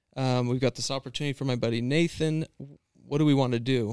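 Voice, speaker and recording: Dry and close with no echo, the recording captures a man with an American accent. His unremarkable speaking voice sits at medium pitch, moving at a fairly quick pace with fairly even intonation. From Washington State, US. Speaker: outdoor hunting filmmaker. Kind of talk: casual interview chat. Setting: hotel room.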